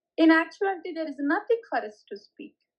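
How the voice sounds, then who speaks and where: A woman with an Indian accent, extremely high pitch and moderate pace. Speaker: spiritual teacher. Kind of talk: spiritual talk. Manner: code-switching Hindi and English; louder after reminder.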